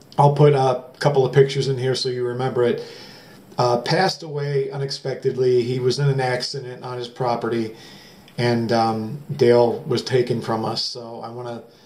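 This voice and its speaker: A medium-pitched man with an American accent and fairly even intonation, over noticeable background noise. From Ohio, US Midwest (Elyria). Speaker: metal detecting YouTuber. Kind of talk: casual vlog talk to camera. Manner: fast; hesitant with fillers.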